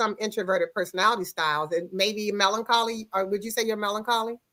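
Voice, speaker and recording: A loud woman with a bright, sharp, animated tone speaks at a moderate pace on a very clean recording with a silent background. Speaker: talk show host. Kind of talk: casual chat. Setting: studio with guests in the room.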